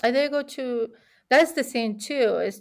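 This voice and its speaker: At a fairly slow pace, a woman speaks in an Argentine accent with a high pitch. The recording is very clean, with a silent background. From Argentina. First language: Spanish. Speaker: immigrant sharing experiences, cook. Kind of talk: casual interview chat. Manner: halting, many repetitions.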